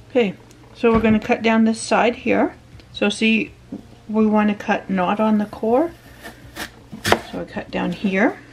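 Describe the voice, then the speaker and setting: Loud background noise fills the clip. A woman talks at a fairly slow pace. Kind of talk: tutorial. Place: kitchen. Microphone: camera far.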